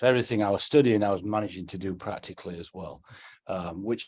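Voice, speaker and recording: Over a quiet background, a man with a fairly low pitch talks at a very fast pace with fairly even intonation. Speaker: textile entrepreneur. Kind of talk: interview. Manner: halting, many fillers.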